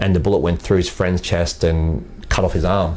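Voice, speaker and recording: Against noticeable background noise, a man with an Australian accent speaks at a fairly quick pace. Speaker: sales executive in the fitness industry. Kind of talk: podcast interview. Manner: halting.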